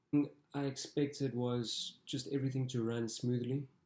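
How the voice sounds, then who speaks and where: The voice has a dark, mellow tone and is somewhat breathy. It moves at a fairly slow pace with monotone, flat intonation. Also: man. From South Africa. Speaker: international student athlete. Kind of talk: interview testimony.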